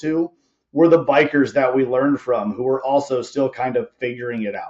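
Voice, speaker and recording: Moving at a fairly quick pace, the man talks in a fairly high voice. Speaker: podcast host and tattoo artist. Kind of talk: casual interview chat. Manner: fast.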